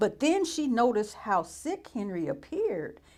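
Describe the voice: The passage is simply read aloud in a plain way.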